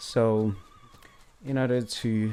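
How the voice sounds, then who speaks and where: A man with a Botswana accent, with audible room echo. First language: Setswana. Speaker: independent history presenter. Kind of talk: lecture presentation. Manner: halting, many fillers.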